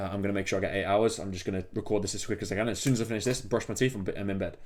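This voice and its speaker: A man with an English accent talks at a very fast pace in a fairly low pitch. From England. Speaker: entrepreneur vlogger. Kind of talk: casual vlog monologue. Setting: home desk, late at night. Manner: casual, rambling with fillers.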